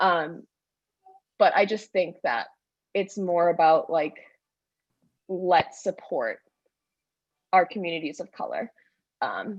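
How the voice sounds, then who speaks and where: A woman's shaky voice at a very slow pace, broken by long, frequent pauses. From Bahamas. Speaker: convention delegate, history teacher. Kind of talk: public comment in church convention debate.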